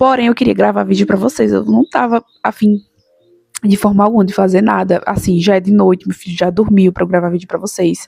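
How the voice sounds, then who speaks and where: Against music in the background, a woman talks at a fairly quick pace in a dry, close sound with no echo. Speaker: YouTuber, mother giving daily reflections. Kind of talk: casual vlog talk to viewers. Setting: at home, recording at night.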